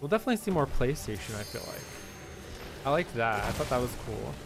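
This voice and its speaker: Lively intonation at a moderate pace over music in the background. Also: man. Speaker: gaming streamer. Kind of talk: live gameplay stream chat. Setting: live stream. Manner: soft-spoken.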